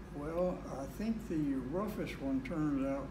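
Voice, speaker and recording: A man with ordinary pitch variation, against noticeable background noise. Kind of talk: interview answer. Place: home room.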